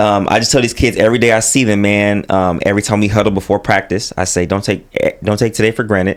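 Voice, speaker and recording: An American-accented man races along at a very fast pace with hardly any pauses, very even loudness and monotone, flat intonation. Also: fairly low pitch for a man. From Sacramento, California. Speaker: YouTuber and college basketball coach. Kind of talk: casual podcast interview.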